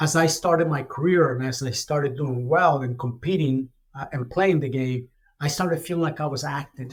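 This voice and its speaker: A man's fairly high voice, fairly quick and somewhat breathy, with fairly even intonation. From Ecuador. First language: Spanish. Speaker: retired corporate finance executive. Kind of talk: podcast interview. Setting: studio. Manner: soft-spoken.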